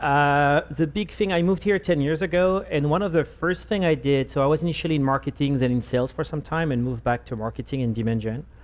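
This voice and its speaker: In a French accent, a man with a fairly high pitch talks at a very fast pace with hardly any pauses and ordinary pitch variation. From France. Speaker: marketing executive. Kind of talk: panel discussion.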